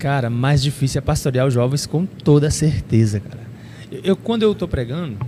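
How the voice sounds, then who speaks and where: A man speaks at a moderate pace with an unremarkable speaking voice. His intonation is lively. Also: fairly high pitch for a man, big swings in loudness. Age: 30s. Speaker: preacher and youth pastor. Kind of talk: casual chat.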